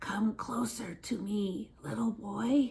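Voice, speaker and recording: In a put-on character voice, a woman whispers at a very slow pace, sounding raspy and creaky. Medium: read story. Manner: whispering, wheedling.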